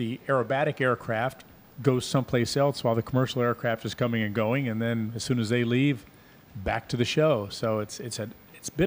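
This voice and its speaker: A man talks at a fairly quick pace in a plain, everyday voice. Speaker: radio co-host. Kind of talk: casual chat. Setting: outdoors. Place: meeting room. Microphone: studio mic.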